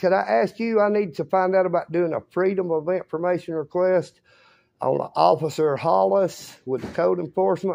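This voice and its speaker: Speech comes at a moderate pace against a quiet background. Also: man. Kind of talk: complaint told to a clerk. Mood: aggrieved, insistent. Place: office. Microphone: phone near.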